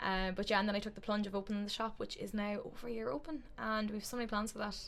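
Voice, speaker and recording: Talking very fast, a woman with an Irish accent has a fairly high pitch and ordinary pitch variation. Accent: Meath Irish accent, noticeable. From Ireland, County Meath. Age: 20s. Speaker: podcast co-host, spiritual shop owner. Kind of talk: casual chat.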